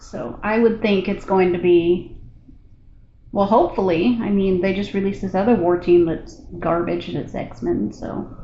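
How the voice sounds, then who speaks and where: Quiet and at a moderate pace, a woman speaks at a medium pitch with ordinary pitch variation, with audible room echo. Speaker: gaming streamer. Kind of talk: casual chat. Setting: hotel room, live with Discord.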